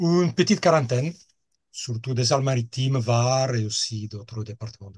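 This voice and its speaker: A man with a medium pitch and a somewhat breathy voice speaks with long, frequent pauses. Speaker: hang-gliding club safety officer. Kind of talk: interview.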